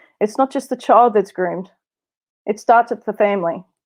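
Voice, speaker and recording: A woman with an Australian accent against a quiet background. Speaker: abuse survivor and speaker. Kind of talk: testimony.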